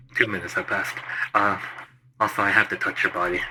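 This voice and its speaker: The speaker uses a put-on character voice. The words come at a very fast pace. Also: man, fairly low pitch for a man. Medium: actual play.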